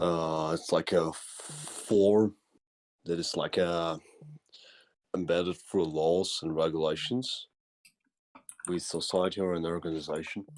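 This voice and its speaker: A man with a very deep, low pitch talks fairly slowly with fairly even intonation on a very clean recording with a silent background. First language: German. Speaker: caller. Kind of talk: heated debate. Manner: halting; formal.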